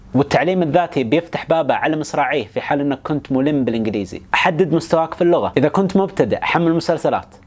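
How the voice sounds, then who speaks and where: Noticeable background noise behind a very fast-talking man, his pitch varying in an ordinary way. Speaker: educational YouTuber. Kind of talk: explainer monologue. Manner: casual, colloquial.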